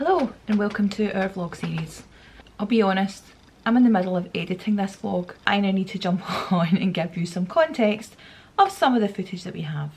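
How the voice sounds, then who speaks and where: In a Scottish accent, a woman talks at a fairly quick pace and medium pitch over noticeable background noise. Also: ordinary pitch variation. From Scotland, Glasgow. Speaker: travel vlogger. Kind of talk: casual vlog narration. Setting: airport.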